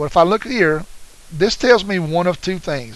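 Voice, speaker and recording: A man speaks with ordinary pitch variation. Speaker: math teacher. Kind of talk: tutorial. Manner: fast; casual, encouraging.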